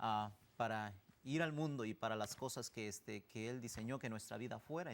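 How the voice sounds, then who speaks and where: A man's medium-pitched voice with an Oaxacan accent, ordinary pitch variation, and a moderate pace. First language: Zapotec (speaking Spanish). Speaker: missionary. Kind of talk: interview testimony.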